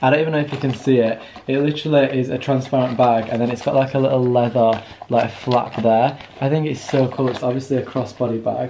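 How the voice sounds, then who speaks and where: A man speaks at a very fast pace in a monotone, flat intonation, with light background noise. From England. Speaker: vlogger. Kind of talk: casual vlog talk to camera. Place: home room. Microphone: phone near.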